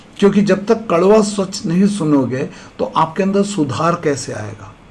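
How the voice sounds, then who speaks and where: With a Malayalam accent, a man speaks at a high pitch. Audible room echo and noticeable background noise fill the recording. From India, Kerala. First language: Malayalam (speaking Hindi). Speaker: SSB interview coach, retired army officer. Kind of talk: motivational lecture.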